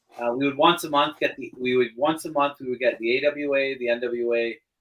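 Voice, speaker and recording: A man with a plain, everyday voice, medium pitch, a fairly quick pace and a Canadian accent. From western Canada (British Columbia). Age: 40s. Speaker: podcast co-host. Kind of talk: casual chat.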